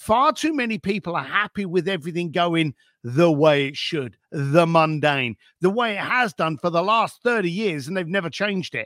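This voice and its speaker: With a London accent, a man speaks in a high voice at a moderate pace, his intonation lively and the sound dry and close with no echo. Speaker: author and concierge for the wealthy. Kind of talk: interview chat.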